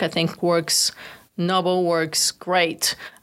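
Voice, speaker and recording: In a Bulgarian accent, a woman talks at a medium pitch. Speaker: entrepreneur. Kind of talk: interview.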